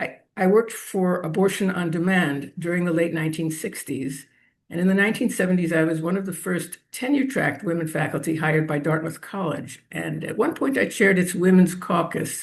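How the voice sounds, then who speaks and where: A woman with a New York accent talks at a fairly low pitch and fairly quick pace, with hardly any pauses and ordinary pitch variation. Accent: New York American. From New York City area, US. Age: 70s. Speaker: feminist activist. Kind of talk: interview.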